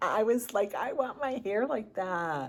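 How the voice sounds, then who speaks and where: A woman with a Chicago accent, fairly slow pace, lively intonation and an animated tone. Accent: Chicago American. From US Midwest, Chicago inner city. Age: 60s. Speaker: lifestyle vlogger. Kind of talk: casual vlog talk to camera. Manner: chatty, animated.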